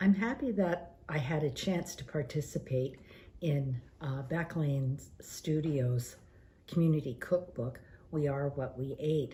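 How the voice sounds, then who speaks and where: Fairly slowly and with ordinary pitch variation, a woman speaks at a very deep, low pitch in a dark, mellow, somewhat breathy voice. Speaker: senior cookbook participant. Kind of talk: personal reminiscence. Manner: hesitant, many fillers.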